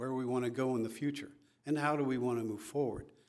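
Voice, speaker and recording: A man's voice with audible room echo. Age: 70s. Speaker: applicant for a city commission, military veteran. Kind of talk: public comment / interview at a city council meeting. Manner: calm.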